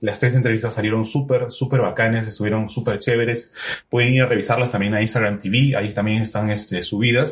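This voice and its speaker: A man's medium-pitched voice at a very fast pace with monotone, flat intonation. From Peru, Trujillo. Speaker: podcast host and musician. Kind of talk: casual interview over live video stream.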